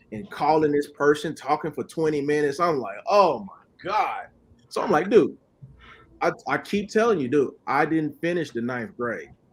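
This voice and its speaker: A plain, everyday voice speaks at a moderate pace. The recording is very clean, with a silent background. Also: man, fairly high pitch for a man. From Oklahoma City. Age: 30s. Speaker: credit repair specialist. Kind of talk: podcast interview. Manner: casual, repetitive.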